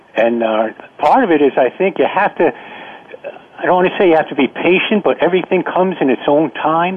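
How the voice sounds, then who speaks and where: Noticeable background noise accompanies a man whose lively intonation carries at a moderate pace. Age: 50s. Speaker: caller, former guest. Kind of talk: call-in comments. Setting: phone call. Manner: halting, repeats words.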